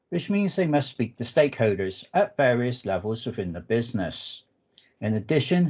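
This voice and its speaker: Speaking at a moderate pace with a southwest English accent, a man keeps a medium pitch that makes very wide swings. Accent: English, southwest UK. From southwest England. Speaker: analytics architect, conference speaker. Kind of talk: technical presentation.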